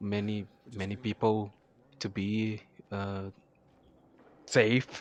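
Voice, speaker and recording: This man has a strong non-native accent and a fairly low pitch. He talks at a very slow pace. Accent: thick non-native. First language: not English. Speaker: gaming YouTuber. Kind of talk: gameplay commentary. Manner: halting, many fillers and repeats.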